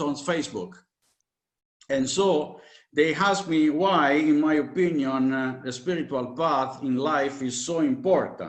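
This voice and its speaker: A fairly high-pitched male voice at a fairly slow pace, with audible room echo. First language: Italian. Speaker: spiritual teacher. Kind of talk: lecture. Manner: halting, many fillers.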